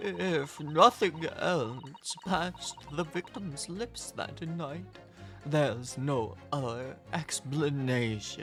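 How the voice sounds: Clear music plays in the background. A man does a put-on character voice at a fairly high pitch and a very slow pace.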